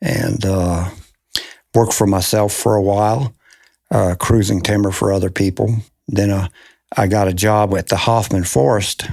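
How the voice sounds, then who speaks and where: A man's fairly low voice at a moderate pace, fairly even in intonation, a plain, everyday voice, on a very clean recording with a silent background. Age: 60s. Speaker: forester. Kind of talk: interview.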